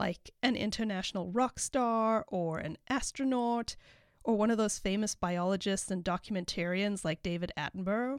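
At a moderate pace and with a slight South African accent, the voice comes through dry and close with no echo on a very clean recording against a silent background. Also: woman. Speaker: veterinarian and life coach, podcast host. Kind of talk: casual solo podcast monologue. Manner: informal, uses profanity.

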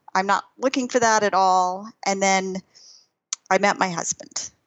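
A woman with an American accent and an unremarkable speaking voice, medium pitch, fairly slow pace, very even loudness. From US Texas. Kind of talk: casual interview chat.

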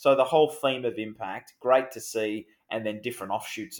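In a very clean recording with a silent background, a man with an Australian accent speaks at a fairly quick pace. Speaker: podcast host. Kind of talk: podcast discussion about finance.

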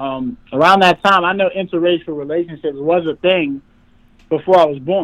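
A man's high voice moves at a moderate pace, its intonation fairly even. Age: 20s. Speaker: internet personality telling his life story. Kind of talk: interview.

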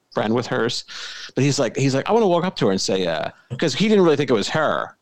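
A man's very fast delivery with very wide pitch swings. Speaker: podcast host. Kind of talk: casual banter podcast.

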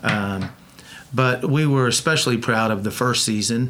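With noticeable background noise, a man in an Oklahoma accent speaks with ordinary pitch variation. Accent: Oklahoma US Southern. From Oklahoma, Bethany. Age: 60s. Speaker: car builder and TV personality. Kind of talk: casual interview chat.

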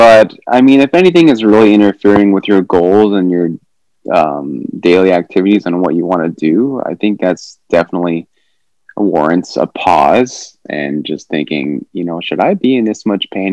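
With a Western US accent, a man talks at a very deep, low pitch and a moderate pace. His pitch varies in an ordinary way, in a dry, close sound with no echo. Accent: American (Western US). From Utah. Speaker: podiatrist. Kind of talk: interview, expert advice. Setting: video call.

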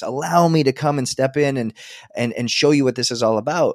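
With a Canadian accent, a man speaks at a fairly quick pace in an unremarkable speaking voice of medium pitch, the sound dry and close with no echo in a very clean recording with a silent background. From Edmonton, Alberta, western Canada. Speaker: health and performance coach. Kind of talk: interview conversation.

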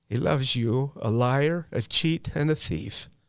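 A man's normal speaking voice at medium pitch with an American accent, at a fairly slow pace, lively intonation, on a very clean recording with a silent background. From Utah. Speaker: person in long-term addiction recovery, known in the recovery field. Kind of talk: personal recovery testimony. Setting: studio.

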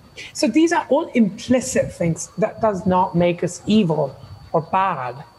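Over noticeable background noise, a man talks at a fairly slow pace in a high pitch. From India. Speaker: psychotherapist and diversity speaker. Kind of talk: presentation talk. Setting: video call.

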